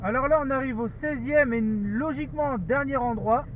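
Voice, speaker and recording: Extremely high pitch from a man, with ordinary pitch variation. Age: 20s. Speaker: dashcam vlogger. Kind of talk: driving commentary. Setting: in a car. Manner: halting.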